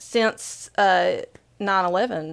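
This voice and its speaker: A woman's voice with an Appalachian accent and lively intonation. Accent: Appalachian accent, often commented on. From Southeastern Kentucky, central Appalachia. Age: 40s. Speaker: author and spiritual speaker. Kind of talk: podcast interview. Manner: conversational, many fillers.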